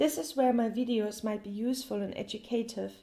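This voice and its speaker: Speaking in a German accent, a woman keeps a moderate pace and a fairly high pitch. Her intonation stays fairly even. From Germany. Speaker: language teacher. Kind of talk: tutorial.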